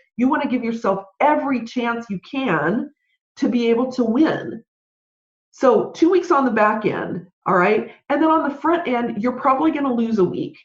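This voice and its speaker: A woman's high-pitched voice, animated in tone, with lively intonation at a moderate pace. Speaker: podcast host and business consultant. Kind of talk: solo podcast talk.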